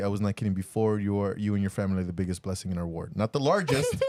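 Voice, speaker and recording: A man speaks with a non-native accent. His pitch is fairly low. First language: not English. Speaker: podcast co-host and church bishop. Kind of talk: casual chat. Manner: halting.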